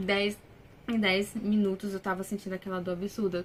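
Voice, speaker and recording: Talking at a fairly quick pace, a woman uses an ordinary speaking voice at medium pitch. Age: 20s. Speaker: vlogger, new mother. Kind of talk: personal testimony, casual vlog. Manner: casual, conversational.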